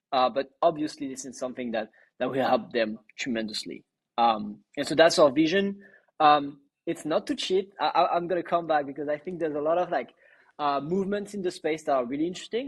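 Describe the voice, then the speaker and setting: A man with a French accent talks at a fairly quick pace in a fairly high pitch. His intonation is lively, and the background is quiet. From western France. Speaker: startup co-founder. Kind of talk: podcast interview. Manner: many filler words and restarts.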